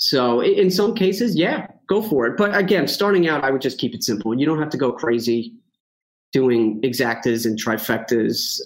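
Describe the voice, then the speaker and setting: A man with a strong New York accent and lively intonation. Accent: thick New York. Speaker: horse racing handicapper. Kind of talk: casual chat. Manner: fast.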